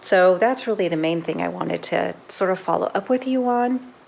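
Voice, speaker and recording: A woman's fairly low-pitched voice with lively intonation at a moderate pace, over noticeable background noise. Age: 50s. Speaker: lifestyle vlogger. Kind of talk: casual vlog monologue. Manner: halting, with fillers and repeats.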